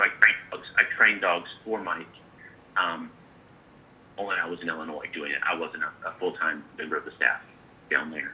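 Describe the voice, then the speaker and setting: Over noticeable background noise, a man talks at a moderate pace, pausing long and often. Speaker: dentist and gun dog trainer. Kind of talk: casual interview chat. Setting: phone call. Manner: eloquent.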